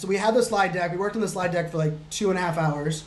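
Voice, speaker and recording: With noticeable background noise and audible room echo, a man speaks in a high voice with ordinary pitch variation. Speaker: digital futurist and keynote speaker. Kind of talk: screen-share tutorial. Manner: fast; casual, many fillers.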